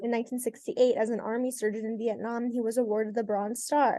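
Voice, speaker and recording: A woman talks at a very fast pace in a high voice with a dark, mellow tone. The sound is dry and close, with no echo. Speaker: podcast host and interviewer. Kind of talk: interview host introduction and questions.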